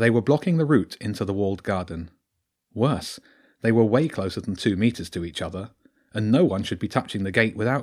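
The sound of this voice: Intonation here is lively. An unforced reading voice comes over a quiet background.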